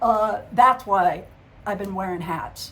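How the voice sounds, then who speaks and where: A woman's medium-pitched voice with ordinary pitch variation and audible room echo. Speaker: psychic medium vlogger. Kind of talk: casual vlog monologue. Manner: halting, stumbles over words.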